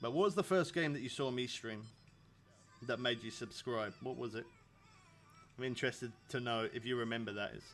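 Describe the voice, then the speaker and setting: The speaker has a British accent and a fairly quick pace. Long pauses come often. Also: man, medium pitch for a man, ordinary pitch variation. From England. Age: 30s. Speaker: video game streamer. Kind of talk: live stream chat. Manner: casual.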